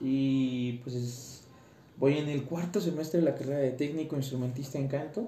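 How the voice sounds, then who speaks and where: A man with a fairly high pitch talks with ordinary pitch variation, and audible room echo surrounds his voice. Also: moderate pace. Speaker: tenor student podcaster. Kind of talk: casual monologue. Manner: halting.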